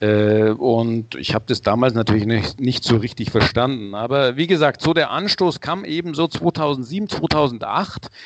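A man uses a normal speaking voice at a medium pitch, with lively intonation. His pace is fairly slow, with hardly any pauses. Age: 60s. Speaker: head of a sustainability brand certification organization. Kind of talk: interview.

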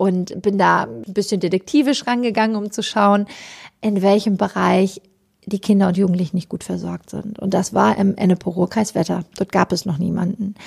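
Vocal fry and a slightly husky edge over a slightly mellow tone, fairly even intonation, a fairly quick pace and few pauses. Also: woman, medium pitch for a woman.

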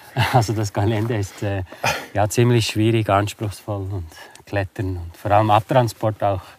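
At a moderate pace, a man with a fairly low pitch speaks with fairly even intonation over noticeable background noise. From Switzerland, Bernese Oberland (Interlaken). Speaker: adventurer and hunter. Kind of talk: casual interview. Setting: outdoors on a winter walk. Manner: halting, many fillers.

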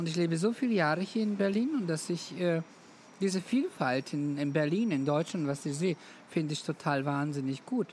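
Intonation is lively, and the pace stays moderate. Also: woman, fairly low pitch for a woman. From Roma, Balkans. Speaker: make-up artist. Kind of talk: interview.

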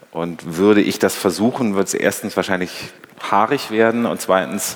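Noticeable noise sits in the background. A man talks at a moderate pace with ordinary pitch variation. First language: German. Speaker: interviewer, culture editor. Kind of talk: moderated interview. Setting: stage with audience.

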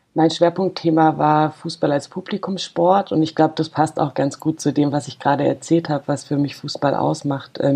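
Speaking at a moderate pace with hardly any pauses, a woman has a very deep, low pitch, a dark, mellow tone and monotone, flat intonation. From Freiburg, Baden. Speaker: football fan representative. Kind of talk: interview.

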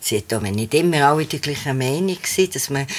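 A woman is speaking. Her intonation is lively. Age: 60s. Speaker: theatre co-founder and administrator. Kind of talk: interview. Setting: studio, sitting side by side.

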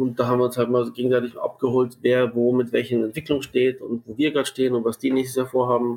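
Speaking at a very fast pace with hardly any pauses, a man keeps a medium pitch and a monotone, flat intonation. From Munich, Bavaria. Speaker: sports marketing and event manager. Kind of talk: casual interview.

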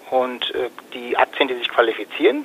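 A man's voice with noticeable background noise. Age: 40s. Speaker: fund advisor and trader. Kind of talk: interview.

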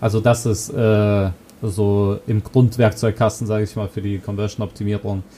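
This man talks at a fairly slow pace in a monotone, flat intonation. His pitch is fairly low and his tone is dark and mellow. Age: 20s. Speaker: conversion optimization consultant. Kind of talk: interview. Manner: hesitant with fillers.

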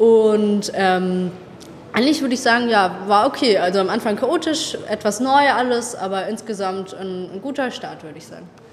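A woman speaks at a moderate pace in a fairly high pitch with ordinary pitch variation and big swings in loudness. Noticeable background noise and audible room echo fill the recording. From Baden-Württemberg, Tübingen. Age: 20s. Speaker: university student. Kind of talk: interview.

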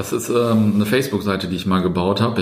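A man talks in a room with audible echo, noticeable background noise behind him. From Germany, Löhne (Kreis Herford), East Westphalia. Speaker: startup founder and former podcast host. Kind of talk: casual interview. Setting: coworking space.

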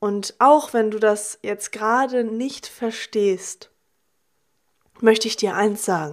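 A woman's warm tone, fairly high in pitch, at a very slow pace with fairly even intonation. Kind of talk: motivational monologue. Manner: warm, direct address to listener.

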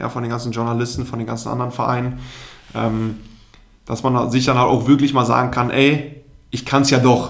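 The speaker talks at a moderate pace with monotone, flat intonation, and the room echo is audible. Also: man, medium pitch for a man. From Germany, Münsterland (Telgte). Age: 20s. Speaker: former pro goalkeeper, consultant. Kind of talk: interview. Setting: office.

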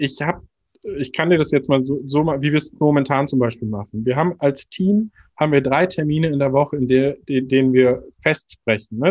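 A man with a plain, everyday voice talks at a fairly high pitch and fairly quick pace, with ordinary pitch variation, in a dry, close sound with no echo. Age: 30s. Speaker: marketing department head. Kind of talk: interview.

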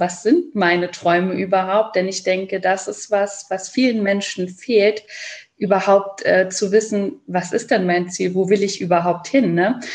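At a fairly slow pace, a woman talks in a normal speaking voice with a medium pitch and fairly even intonation. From Saarland, Germany. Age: 30s. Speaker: educator and children's book author. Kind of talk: interview.

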